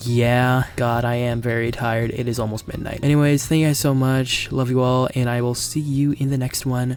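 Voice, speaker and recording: Very even loudness and monotone, flat intonation, with hardly any pauses, over noticeable background noise. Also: man, medium pitch for a man, moderate pace. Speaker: gaming YouTuber.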